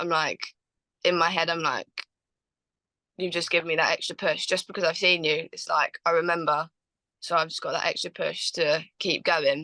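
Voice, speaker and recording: A woman with a southern English accent, a fairly low pitch, a bright, sharp tone and a moderate pace, in a dry, close sound with no echo. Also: quiet background. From Watford, England. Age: young. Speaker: Muay Thai fighter, world champion. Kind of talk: interview answer.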